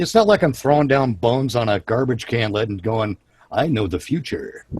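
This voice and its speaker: A man's somewhat breathy voice at medium pitch, with lively intonation and a moderate pace. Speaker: live show host. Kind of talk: casual chat. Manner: halting.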